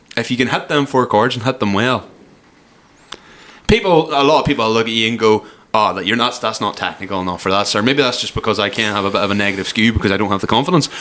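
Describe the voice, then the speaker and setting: The speaker talks very fast in a Cork accent, with ordinary pitch variation. Background noise is noticeable. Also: man, medium pitch for a man. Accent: Cork Irish. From Ireland, Cork. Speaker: podcast host. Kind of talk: casual chat.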